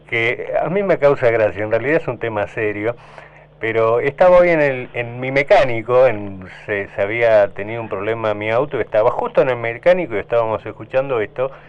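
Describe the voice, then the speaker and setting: Amid noticeable background noise, a man talks at a fairly quick pace with medium pitch and ordinary pitch variation. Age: 60s. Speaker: radio host. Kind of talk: radio interview. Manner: conversational.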